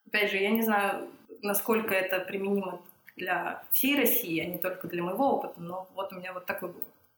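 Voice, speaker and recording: In a normal speaking voice, a woman talks at a fairly quick pace and medium pitch. Her loudness swings widely while her pitch varies in an ordinary way. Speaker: psychiatrist and psychotherapist. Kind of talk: casual interview. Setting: home kitchen.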